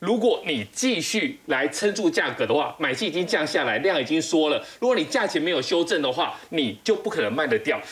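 Noticeable background noise runs under speech that has hardly any pauses. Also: fairly quick pace. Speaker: financial writer. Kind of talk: TV panel discussion.

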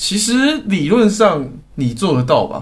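Very slow, somewhat breathy speech with very wide pitch swings and audible room echo. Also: man. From Taiwan. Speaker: podcast co-host. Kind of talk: casual chat.

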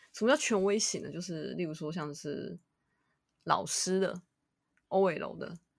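Here is a woman with an unremarkable speaking voice. Her pitch is medium, with ordinary variation. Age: 30s. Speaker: podcast host. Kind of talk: casual chat.

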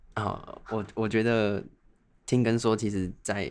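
A man with an unremarkable speaking voice talks at a fairly slow pace in a fairly low pitch. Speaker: medical student and podcast co-host. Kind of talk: casual chat.

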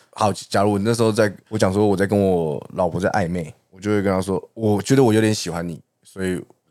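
Speaking with a Taiwanese accent, a man with a very deep, low voice talks at a moderate pace with ordinary pitch variation. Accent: Taiwanese Mandarin. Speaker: podcast co-host. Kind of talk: casual chat.

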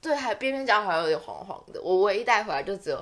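A woman with a Taiwanese accent talks at a fairly quick pace. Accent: Taiwanese Mandarin. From Taiwan, Taichung. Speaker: podcast co-host. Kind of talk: casual chat.

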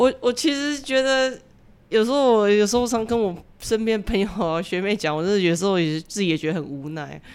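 A plain, everyday voice at a fairly quick pace with lively intonation, on a very clean recording over a silent background. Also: woman, medium pitch for a woman. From Taiwan. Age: 40s. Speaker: author and social worker. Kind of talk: interview.

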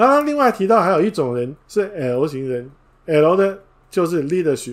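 A man speaks at a moderate pace. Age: 50s. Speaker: book review podcaster. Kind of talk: livestream book talk.

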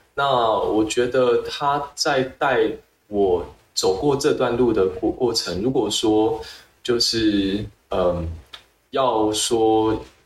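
A man speaks at a very slow pace in a medium pitch. His pitch varies in an ordinary way and his loudness stays very even. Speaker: public health researcher. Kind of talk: interview. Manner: halting, with repetitions.

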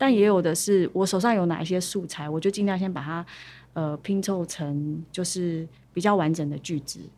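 Over a very clean recording with a silent background, a woman speaks at a moderate pace in a fairly low pitch, with a dark, mellow tone and ordinary pitch variation. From Taiwan, Pingtung (Paiwan). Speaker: singer-songwriter. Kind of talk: interview.

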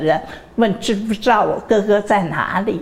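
A woman at a medium pitch with ordinary pitch variation, over noticeable background noise. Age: 80s+. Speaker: university chairwoman. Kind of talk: interview. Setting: university campus.

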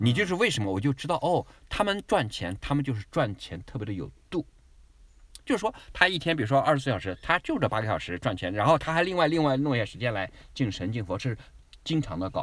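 Vocal fry runs through a man's fairly high voice as he talks at a very fast pace with very wide pitch swings. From mainland China. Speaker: immigrant travel guest. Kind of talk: casual chat.

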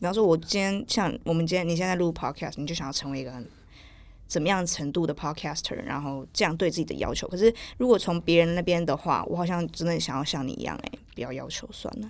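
In a very clean recording with a silent background, a woman talks very fast in a fairly low pitch with lively intonation. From southern Taiwan. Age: 20s. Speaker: podcast guest. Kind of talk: casual interview.

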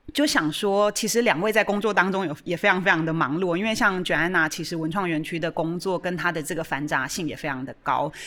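A woman with a Taiwanese accent, fairly low-pitched, talking at a very fast pace with ordinary pitch variation. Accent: Taiwanese Mandarin. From Taiwan, Chiayi. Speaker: art museum director hosting a radio show. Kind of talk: hosted radio discussion. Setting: radio studio. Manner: hesitant, many fillers.

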